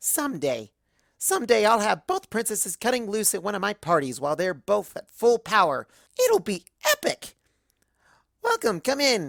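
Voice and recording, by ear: A put-on character voice with very wide pitch swings, vocal fry and a fairly bright tone at a moderate pace, dry and close with no echo, on a very clean recording with a silent background.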